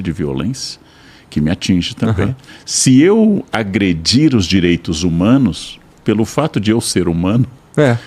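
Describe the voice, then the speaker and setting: A man's fairly low voice, with very wide pitch swings, at a fairly slow pace. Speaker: philosopher and professor. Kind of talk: podcast interview answer.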